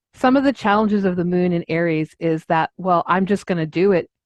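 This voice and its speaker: A woman with an American accent has a normal speaking voice at a medium pitch, with ordinary pitch variation. The sound is dry and close with no echo, against a quiet background. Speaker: astrologer podcast co-host. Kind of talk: podcast discussion.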